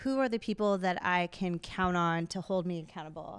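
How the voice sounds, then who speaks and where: A woman with a Minnesota accent speaks at a moderate pace on a very clean recording with a silent background. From Minnesota (Twin Cities). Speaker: fitness studio owner, former triathlete. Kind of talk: live podcast panel discussion. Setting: stage with audience.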